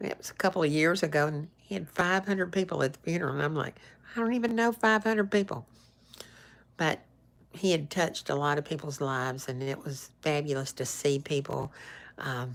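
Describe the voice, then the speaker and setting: In a Southern US accent, a woman with a very deep, low pitch talks at a fairly quick pace with lively intonation. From US South, northeast Alabama / northwest Georgia. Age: 60s. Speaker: actress and social media personality. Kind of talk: casual live-stream chat. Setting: live stream.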